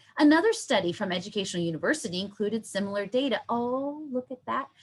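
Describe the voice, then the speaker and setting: Her intonation is lively. The woman's voice is somewhat breathy. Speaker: university instructor. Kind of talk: online workshop lecture. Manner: animated.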